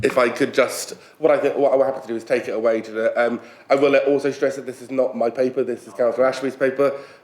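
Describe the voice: A man at medium pitch talks at a fast pace with little pitch movement and a slightly mellow tone.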